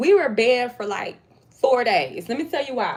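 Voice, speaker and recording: A woman with an American accent, animated in tone, with very wide pitch swings at a moderate pace. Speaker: lifestyle vlogger. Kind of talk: casual chat.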